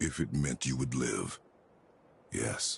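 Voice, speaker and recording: The speaker uses a raspy, put-on character voice. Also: man. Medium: video game. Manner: terse, grave.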